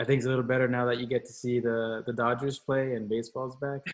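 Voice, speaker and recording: The man talks at a very fast pace. His intonation is monotone and flat. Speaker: podcast host and professor. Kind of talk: interview conversation. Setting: home recording space, remote call. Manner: loud, raises voice.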